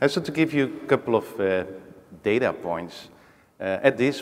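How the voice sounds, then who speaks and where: A man with a Dutch accent at a moderate pace. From Netherlands, Rotterdam. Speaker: technology executive, panelist. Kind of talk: panel discussion. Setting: stage with audience.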